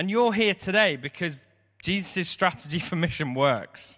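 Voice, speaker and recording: A man's raised, projected voice in an English accent, bright and sharp in tone, with lively intonation at a fairly slow pace, on a very clean recording with a silent background. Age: 30s. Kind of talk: sermon.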